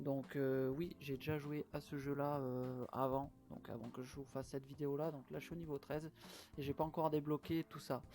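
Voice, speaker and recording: Delivered at a moderate pace, a man's fairly high voice has a dark, mellow tone and fairly even intonation. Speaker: gaming youtuber. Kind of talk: gameplay commentary. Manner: hesitant, many fillers. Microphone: poor microphone, apologizes for sound.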